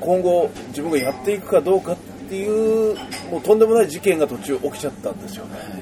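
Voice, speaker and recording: A man's high voice at a very fast pace, ordinary in pitch variation, with big swings in loudness over noticeable background noise. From Japan, Gunma. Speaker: podcast host, traveler. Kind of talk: casual interview. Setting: cafe.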